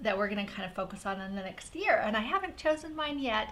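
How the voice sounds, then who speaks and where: At a fairly quick pace, a woman with a fairly high pitch talks in an animated tone, with audible room echo. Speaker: paper craft designer and channel host. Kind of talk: live craft stream chat. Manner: fast.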